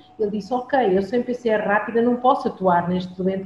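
A woman speaking at a moderate pace amid noticeable background noise. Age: 50s. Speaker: hospital lab coordinator. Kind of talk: interview.

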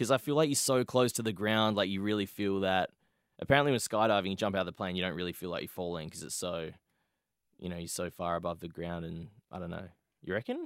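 A very fast man's voice, very deep and low, with an Australian accent and ordinary pitch variation, in a very clean recording with a silent background. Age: 20s. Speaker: podcast host. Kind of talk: casual chat.

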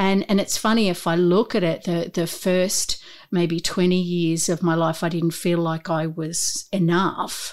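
With an Australian accent, a woman speaks at a fairly slow pace and fairly low pitch, in a monotone, flat intonation with very even loudness and hardly any pauses. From Newcastle, Australia. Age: 50s. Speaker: corporate trainer and coach. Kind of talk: casual interview chat.

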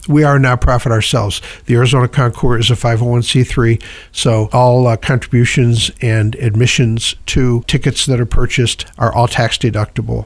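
Speaking at a moderate pace, a man with a medium pitch sounds somewhat breathy, with monotone, flat intonation and very even loudness. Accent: American. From upstate New York. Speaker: car show organizer. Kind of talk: radio interview.

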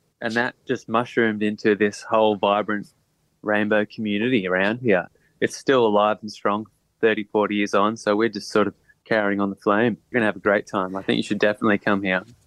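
Recorded dry and close with no echo, a man with an Australian accent talks at a fairly quick pace in a fairly low, monotone, flat voice. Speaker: musician. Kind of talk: casual interview. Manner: relaxed, laid-back.

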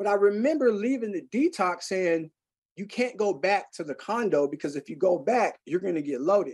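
With a high pitch and lively intonation, a man speaks in an animated tone. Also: moderate pace. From Seattle, Central District. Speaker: recovering addict, music nonprofit director. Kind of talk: podcast interview, recovery testimony.

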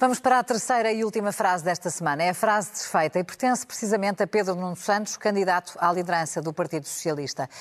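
A woman at a very fast pace, medium pitch and ordinary pitch variation, against a quiet background. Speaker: radio news podcast host. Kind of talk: moderated news panel discussion.

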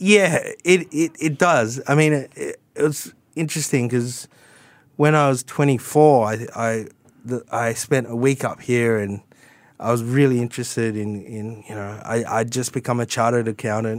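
In a very clean recording with a silent background, a man with a strong Australian accent and a medium pitch speaks at a moderate pace with ordinary pitch variation. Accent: broad Australian. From Sydney, Australia. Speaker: tax advisor. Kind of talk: radio interview.

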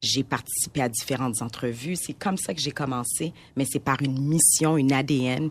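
Her very deep, low pitch shows ordinary pitch variation as the woman keeps a moderate pace. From Montreal, Quebec (Haitian parents). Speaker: entrepreneur. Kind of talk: casual chat.

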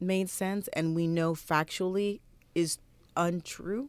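Her intonation fairly even and her pace fairly slow, a woman speaks in an ordinary speaking voice, with a very clean recording, a silent background and a dry, close sound with no echo. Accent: American. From US Deep South. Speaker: journalist. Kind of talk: interview.

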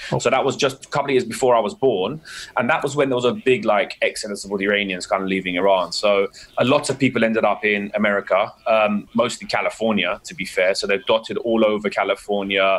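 This man has an English accent. He talks at a very fast pace. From England. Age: 30s. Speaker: dentist. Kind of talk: casual chat.

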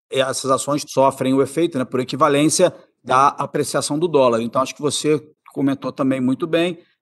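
Fairly even intonation at a moderate pace from a man with a fairly high pitch and an unremarkable speaking voice. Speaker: investment executive. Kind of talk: interview.

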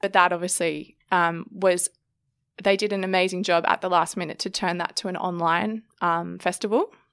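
Recorded very cleanly against a silent background, a woman with an Australian accent speaks in a flat, monotone way. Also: medium pitch for a woman, moderate pace. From Sydney, Australia. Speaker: photographer. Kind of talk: interview. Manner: casual, with many fillers.

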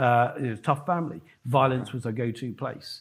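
The recording is very clean, with a silent background. A man speaks in a plain, everyday voice at medium pitch, with ordinary pitch variation. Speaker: host of a business event.

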